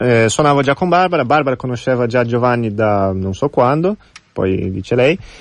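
Speaking at a moderate pace in a Portuguese accent, a man uses a medium pitch and lively intonation. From Brazil. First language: Portuguese (speaking Italian). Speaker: musician. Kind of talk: interview.

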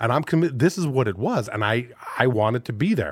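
Here is an ordinary speaking voice, a man's, moving at a fairly quick pace with lively intonation. The recording is very clean and the background silent. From Phoenix, Arizona (Mexican-American). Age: 40s. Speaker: comedian and actor. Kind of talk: casual chat.

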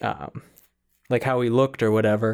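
A man talks in an ordinary speaking voice with an American accent. His intonation is fairly even, and the recording is very clean with a silent background. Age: 40s. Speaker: podcast co-host. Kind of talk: casual chat.

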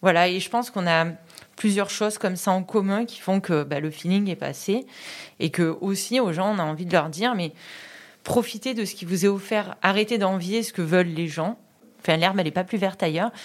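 A woman with an ordinary speaking voice talks at medium pitch with ordinary pitch variation. The recording is very clean, with a silent background. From Vaucluse, Provence. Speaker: PE teacher. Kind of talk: interview.

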